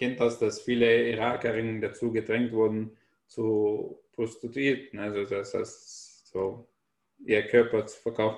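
With an Arabic accent, a man talks at a fairly slow pace in a monotone, flat intonation. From Syria (Damascus). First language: Arabic (speaking German). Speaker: author and stand-up comedian. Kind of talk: casual chat.

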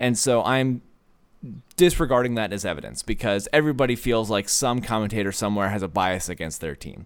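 An ordinary speaking voice comes from a man with a fairly low pitch. He talks at a fairly quick pace, and his intonation is lively. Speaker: podcast co-host. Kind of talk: casual chat.

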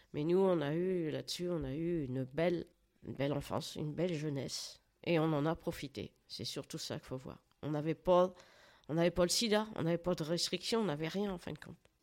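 A woman's fairly low-pitched voice at a fairly quick pace, with ordinary pitch variation, on a very clean recording with a silent background. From France, rural Loiret farm. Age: 60s. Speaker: grandmother sharing life story. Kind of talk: interview. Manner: halting.

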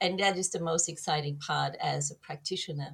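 Somewhat breathy and fairly low in pitch, a woman speaks at a moderate pace with fairly even intonation. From Germany. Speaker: herbal medicine and kinesiology practitioner. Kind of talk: interview.

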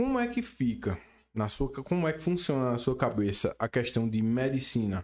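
A man speaks in a plain, everyday voice at a moderate pace, with fairly high pitch and lively intonation. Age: 30s. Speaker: podcast host. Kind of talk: casual interview. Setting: studio.

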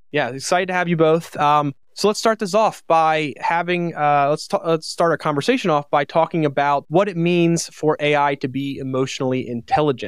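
On a very clean recording with a silent background, a man speaks in an ordinary speaking voice at a fairly high pitch with ordinary pitch variation. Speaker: podcast host. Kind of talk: interview.

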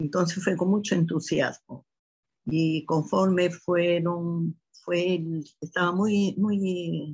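A somewhat breathy woman's voice, fairly low in pitch, very slow, with ordinary pitch variation. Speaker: mother of the host. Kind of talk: interview testimony.

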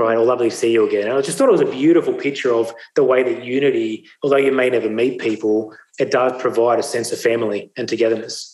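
A man with an Australian accent talks at a medium pitch. He goes very fast, his intonation fairly even. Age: 40s. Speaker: speaker. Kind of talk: testimony.

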